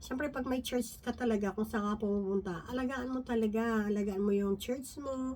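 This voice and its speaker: Over noticeable background noise, a woman talks with hardly any pauses, her fairly high voice keeping fairly even intonation. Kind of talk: Bible study talk. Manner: halting.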